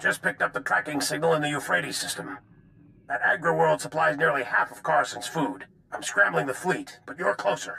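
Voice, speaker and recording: A man puts on a raspy character voice. He speaks at a fairly quick pace. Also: medium pitch for a man. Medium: video game. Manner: measured, grave.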